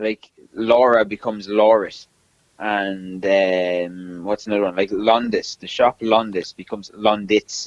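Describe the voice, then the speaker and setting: A man speaks in an Irish accent at a fairly low pitch and a fairly slow pace, with flat, monotone intonation and a dry, close sound with no echo. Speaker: podcast co-host. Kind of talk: casual chat.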